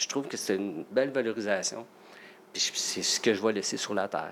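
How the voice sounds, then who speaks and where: A man with an ordinary speaking voice, fairly quick in pace, medium-pitched, with ordinary pitch variation. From Quebec, Salaberry-de-Valleyfield. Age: 50s. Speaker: nurse and part-time firefighter. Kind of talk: casual interview.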